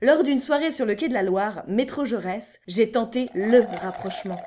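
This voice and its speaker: The speaker uses a playful tone over music in the background. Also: woman. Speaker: voice-over narrator. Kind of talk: humorous personal story narration for cartoon. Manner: comic, playful.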